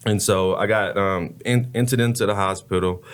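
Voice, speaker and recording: A man with a normal speaking voice talks at fairly low pitch with fairly even intonation on a very clean recording with a silent background. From Texas, Dallas. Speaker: former college football player and advocate. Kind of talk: testimony.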